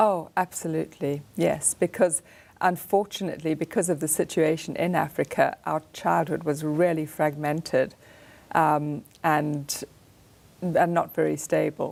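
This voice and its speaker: A woman with an American accent speaks fairly slowly at a very deep, low pitch. Her voice shows vocal fry and fairly even intonation. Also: very clean recording, silent background. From Zimbabwe. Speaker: artist and author. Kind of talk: radio interview. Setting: studio.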